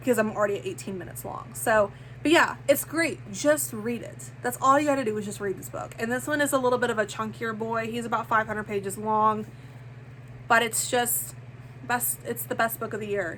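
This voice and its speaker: Speaking at a fairly quick pace, a woman swings very widely in pitch and greatly in loudness, with vocal fry in her voice. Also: medium pitch for a woman. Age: 30s. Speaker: book vlogger. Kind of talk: casual chat. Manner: animated; halting.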